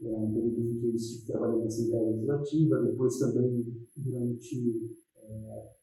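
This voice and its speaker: Somewhat breathy, a man with a medium pitch speaks in a dark, mellow tone at a moderate pace. Audible room echo surrounds his voice. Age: 60s. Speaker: educational technician at a federal school. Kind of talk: interview testimony. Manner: hesitant, many fillers.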